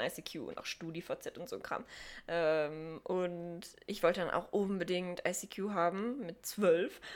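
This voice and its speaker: Against a silent background in a very clean recording, a woman with a medium pitch talks at a very slow pace with fairly even intonation. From Sauerland, Germany. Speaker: podcast co-host. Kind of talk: casual chat.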